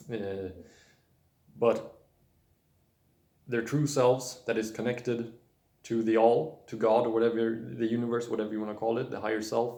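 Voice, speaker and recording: A man with a non-native accent speaks at a moderate pace in a medium pitch with a dark, mellow tone. His intonation is monotone and flat, and there is audible room echo. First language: not English. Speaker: spiritual video blogger. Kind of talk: casual monologue. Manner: halting, many fillers and restarts.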